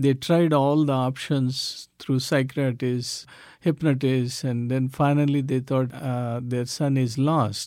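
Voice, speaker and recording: In a very clean recording with a silent background, a man with an Indian accent speaks very slowly at medium pitch with monotone, flat intonation. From South India. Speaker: ministry leader. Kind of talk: interview testimony. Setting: studio. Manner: halting, with fillers.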